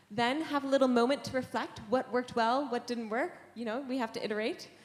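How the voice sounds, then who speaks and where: A woman with a Canadian accent and a plain, everyday voice, fairly high in pitch, with ordinary pitch variation and a fairly quick pace. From Canada. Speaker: software engineer, conference speaker. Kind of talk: conference lightning talk. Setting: stage with audience.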